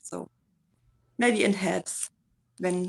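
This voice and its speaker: Very slowly, a woman speaks with a German accent and fairly even intonation. The sound is dry and close, with no echo. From Germany. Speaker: community volunteer. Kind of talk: casual chat. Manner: halting.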